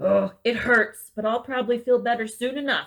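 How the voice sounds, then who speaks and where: A woman does a raspy put-on character voice at a fairly high pitch. She keeps a moderate pace. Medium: read story. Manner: kind, gentle.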